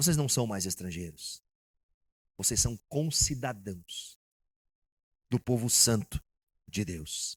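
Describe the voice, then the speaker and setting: Speaking at a medium pitch, a man talks very slowly with long, frequent pauses and lively intonation, his voice somewhat breathy. The recording is very clean and dry, close with no echo, over a silent background. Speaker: pastor. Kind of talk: sermon.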